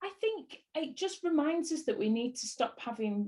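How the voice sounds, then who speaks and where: A woman's somewhat breathy voice with lively intonation at a fairly slow pace. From northern England, Bolton. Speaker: actress. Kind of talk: interview.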